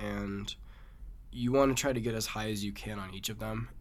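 Audible room echo follows a man speaking in an American accent. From Massachusetts. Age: young. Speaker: competitive climber. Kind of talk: interview.

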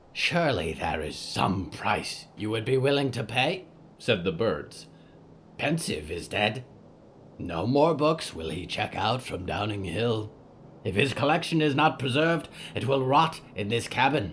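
A man puts on a croaky character voice at medium pitch and a moderate pace. Background noise is clear. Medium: audio drama. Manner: broken, clipped phrasing.

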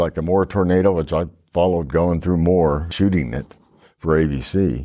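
A man speaks at a moderate pace. His tone is dark and mellow. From Oklahoma. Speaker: veteran journalist and journalism teacher. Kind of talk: panel discussion. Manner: rambling.

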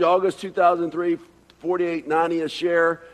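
A man's high voice with a slight Southern US accent. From Atlanta, Georgia. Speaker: preacher. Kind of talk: sermon.

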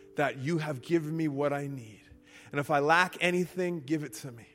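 A man's fairly high voice over music in the background. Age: 30s. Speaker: preacher. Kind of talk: sermon.

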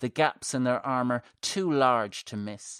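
A man speaks at a fairly slow pace in a medium pitch, with an unremarkable speaking voice. The recording is very clean with a silent background and a dry, close sound with no echo. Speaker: horror fiction podcaster and author. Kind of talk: horror mythology narration, scripted story reading. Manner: tense, hushed then urgent, vivid, building dread and breathless action.

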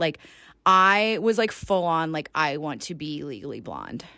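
At a moderate pace, a woman with an American accent talks in a bright, sharp tone, fairly low-pitched with lively intonation, on a very clean recording with a silent background. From US South, Georgia. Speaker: fitness and life coach, podcast host. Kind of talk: casual unscripted monologue. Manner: casual, rambling.

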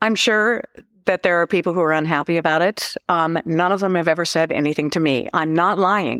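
Speaking fairly quickly with an Alaskan accent, a woman with a fairly low pitch and ordinary pitch variation keeps a very even loudness in a dry, close, echo-free recording that is very clean with a silent background. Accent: Alaskan American. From Alaska (Cordova, Seldovia). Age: 70s. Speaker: novelist. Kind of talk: casual interview.

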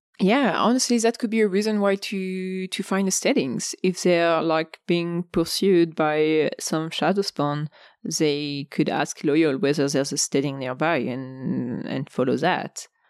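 Against a quiet background with a dry, close sound and no echo, a woman with a plain, everyday voice and fairly low pitch speaks at a fairly slow pace with hardly any pauses and lively intonation. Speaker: podcast co-host.

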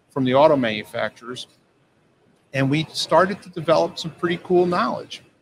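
A man speaks in a plain, everyday voice at a moderate pace with ordinary pitch variation. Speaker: company CEO and mechanical engineer. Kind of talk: interview. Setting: live trade show booth.

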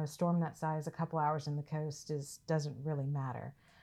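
This woman has a very deep, low pitch and a Southern US accent. She speaks at a fairly quick pace. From US South, Mississippi. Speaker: safety director, army veteran. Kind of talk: interview.

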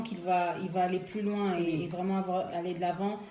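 Noticeable background noise fills the recording. A woman's voice carries audible room echo. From DR Congo, Kinshasa. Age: 20s. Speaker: illustrator and graphic designer. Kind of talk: casual chat.

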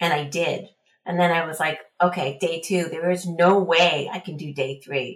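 Intonation here is fairly even. There's a somewhat breathy quality to the voice. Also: woman, moderate pace. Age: 50s. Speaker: trail runner. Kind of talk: interview.

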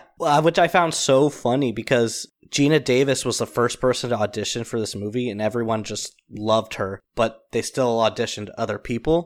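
At a fairly quick pace, a man with a medium pitch talks in an ordinary speaking voice, in a very clean recording with a silent background. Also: ordinary pitch variation. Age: 30s. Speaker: podcast co-host. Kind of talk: casual chat.

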